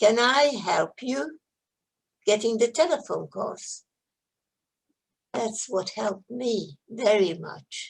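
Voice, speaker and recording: A woman speaks at a high pitch, her voice swinging very widely up and down. Her pace is very slow. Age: 80s+. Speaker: Holocaust survivor. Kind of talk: Q&A testimony. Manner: halting.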